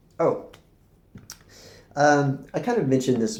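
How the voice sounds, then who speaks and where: A man speaks with vocal fry. Audible room echo colors the recording. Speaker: spiritual teacher vlogger. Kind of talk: casual monologue to camera. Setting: recording to camera. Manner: fast when excited; hesitant, many fillers and repeats.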